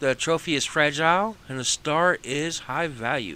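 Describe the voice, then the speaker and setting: In a Texas accent, a man speaks at a very slow pace. His bright, sharp tone stays relaxed. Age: 40s. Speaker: gaming streamer. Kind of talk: gameplay live stream commentary. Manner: casual, relaxed.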